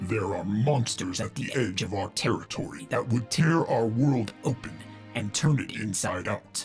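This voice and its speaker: Over clear background music, a man in a put-on character voice booms at medium pitch and a moderate pace. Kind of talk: audiobook reading. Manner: growling.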